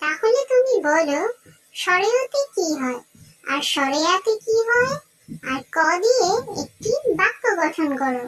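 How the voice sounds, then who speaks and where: In a squeaky, cartoonish character voice, a woman speaks at a fairly slow pace and an extremely high pitch with very wide pitch swings. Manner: crisp, schoolmarmish questioning.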